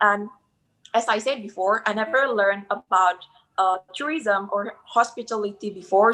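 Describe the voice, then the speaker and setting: A woman speaks at a moderate pace with an Indonesian accent. Her tone is bright and sharp. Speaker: hospitality student. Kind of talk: interview testimony. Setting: live video call. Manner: halting.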